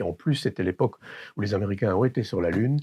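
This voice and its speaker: Close and dry with no echo, a man's voice comes through at a fairly low pitch. It is somewhat breathy, with ordinary pitch variation. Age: 60s. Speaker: electronics repairer. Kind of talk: interview; demonstration. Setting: workshop. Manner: hesitant, many fillers.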